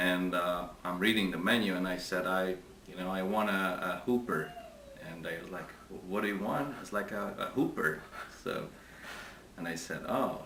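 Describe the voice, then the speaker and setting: A man speaks at a moderate pace in a very deep, low pitch with fairly even intonation and long, frequent pauses. Noticeable background noise and audible room echo fill the recording. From Hungary, Budapest. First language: Hungarian. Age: 40s. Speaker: interviewee. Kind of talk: interview. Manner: halting.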